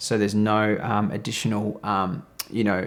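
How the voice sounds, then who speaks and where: This is a man speaking. He goes at a moderate pace. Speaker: video creator reviewing audio gear. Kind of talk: tutorial. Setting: studio.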